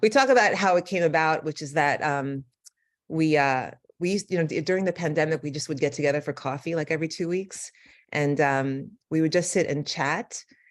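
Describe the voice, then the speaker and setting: A woman with a New York accent speaks in a very deep, low pitch at a fairly quick pace. Her pitch varies in an ordinary way, and the background is quiet. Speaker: neurologist. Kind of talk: lecture. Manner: fast.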